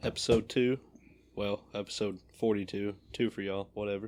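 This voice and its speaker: An unremarkable speaking voice from a man, fairly low-pitched, at a moderate pace. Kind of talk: casual podcast banter.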